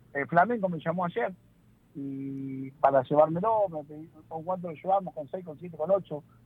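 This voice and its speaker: With a Rioplatense accent, a man talks in a fairly high pitch. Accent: Argentine Spanish (rioplatense). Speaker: football player agent. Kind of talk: interview.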